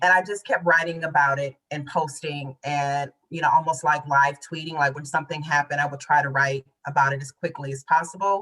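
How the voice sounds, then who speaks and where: A woman speaks with a very deep, low pitch and a bright, sharp tone. She leaves hardly any pauses. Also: fairly even intonation, big swings in loudness. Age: 40s. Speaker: poet and author. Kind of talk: interview conversation.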